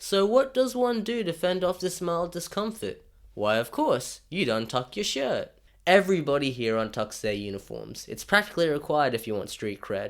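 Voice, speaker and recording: A high-pitched man with a strong Australian accent, very wide pitch swings and a moderate pace, on a very clean recording with a silent background. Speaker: YouTuber. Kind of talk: scripted narration.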